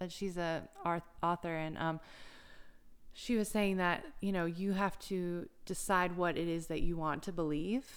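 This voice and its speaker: In an ordinary speaking voice, a woman with an American accent talks at a fairly slow pace, her pitch fairly low and her intonation fairly even. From US South, South Carolina coast. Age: 30s. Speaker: yoga instructor. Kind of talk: interview conversation. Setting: recording in Myrtle Beach, South Carolina.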